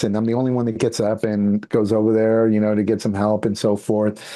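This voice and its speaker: The tone is dark and mellow, with a Spanish accent. The background is quiet. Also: man. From San Francisco Bay Area, California. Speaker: international speaker and entrepreneur. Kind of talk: podcast interview.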